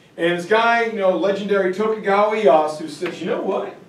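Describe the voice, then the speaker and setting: A man's voice with lively intonation and audible room echo. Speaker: teacher giving lecture. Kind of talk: lecture. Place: classroom. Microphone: camera far.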